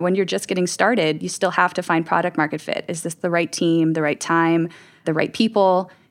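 Over a silent background in a very clean recording, a woman with a plain, everyday voice speaks at a fairly quick pace, her fairly low pitch showing ordinary variation. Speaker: experience strategy director. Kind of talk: roundtable discussion.

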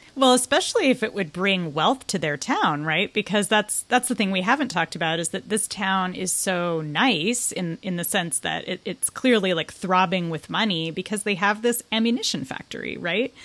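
With an unremarkable speaking voice, a woman talks at a moderate pace and medium pitch, her intonation lively and hardly any pauses between words. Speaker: podcast host and tech culture editor. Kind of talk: casual chat.

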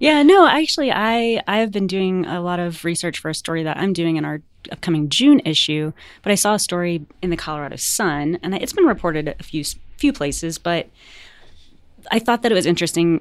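Fairly quick and fairly low in pitch, a woman speaks in an ordinary speaking voice with lively intonation on a very clean recording with a silent background. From US South. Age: 40s. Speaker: magazine editor. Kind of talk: casual chat.

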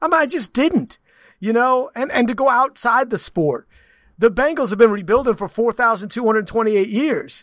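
A loud man with an extremely high pitch for a man speaks at a moderate pace with ordinary pitch variation, in a dry, close sound with no echo. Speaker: sports broadcaster and co-host. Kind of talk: casual sports banter podcast. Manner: loud, opinionated.

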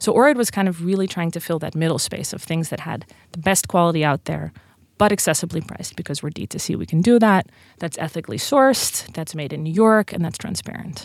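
On a very clean recording with a silent background, a woman talks at a very fast pace. She has a Dutch accent and lively intonation. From Netherlands. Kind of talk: interview. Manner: animated.

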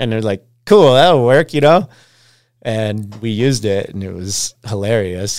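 In an ordinary speaking voice, a man at a medium pitch talks fairly slowly with lively intonation, captured in a very clean recording with a silent background. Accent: American. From Alaska, Anchorage. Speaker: pro snowboarder. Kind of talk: casual chat. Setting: studio.

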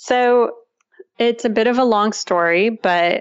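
A woman with a Russian accent speaks with fairly even intonation. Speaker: tech startup founder and CEO. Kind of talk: interview.

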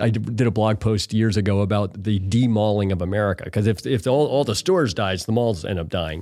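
A man talks at a fairly quick pace with hardly any pauses and ordinary pitch variation, in a very clean recording with a silent background. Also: fairly low pitch for a man. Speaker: venture capital investor in e-commerce. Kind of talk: interview. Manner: halting, repeats words.

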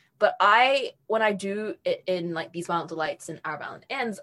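With a New Zealand accent, a woman speaks at a fairly high pitch. Her pitch swings very widely. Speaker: young adult novelist. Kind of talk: interview.

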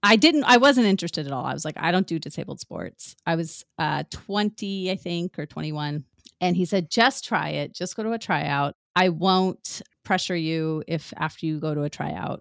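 In an unremarkable speaking voice, a woman with an American accent talks at a moderate pace and fairly low pitch with ordinary pitch variation, the sound dry and close with no echo on a very clean recording with a silent background. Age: 40s. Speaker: paralympian and childbirth educator. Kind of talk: casual chat.

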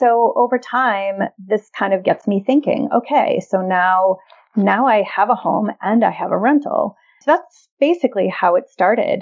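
Using a plain, everyday voice, a woman speaks at a fairly slow pace and fairly high pitch, with ordinary pitch variation and very even loudness. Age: 50s. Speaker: early retiree and real estate investor. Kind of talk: interview.

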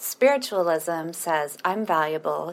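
In a plain, everyday voice, a woman speaks at a fairly slow pace and a fairly low pitch. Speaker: listener with chronic illness. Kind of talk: recorded voice question.

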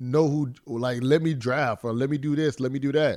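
A man talks at a moderate pace with ordinary pitch variation, in a plain, everyday voice. The recording is very clean, the background silent. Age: 20s. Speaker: former NFL player and football pundit. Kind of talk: casual sports talk.

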